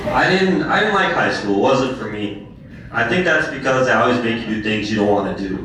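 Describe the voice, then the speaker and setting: The speaker is a man with a fairly brisk delivery. The room echoes audibly, and background noise is noticeable. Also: medium pitch for a man, lively intonation. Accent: American. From Minnesota, Duluth. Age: 20s. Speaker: stand-up comedian. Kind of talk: stand-up. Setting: stage with audience.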